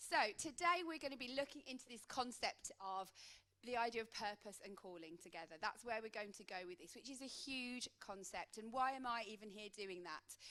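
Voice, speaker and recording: Bright and sharp in tone, a woman with a Midlands accent and a fairly high pitch talks at a fairly quick pace with lively intonation. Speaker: coach. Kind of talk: conference talk.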